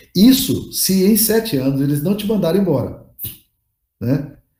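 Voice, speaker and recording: In a room with audible echo, a man's dark, mellow voice moves through very wide pitch swings. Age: 60s. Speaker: pastor and leadership teacher. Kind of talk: lecture. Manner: casual, conversational.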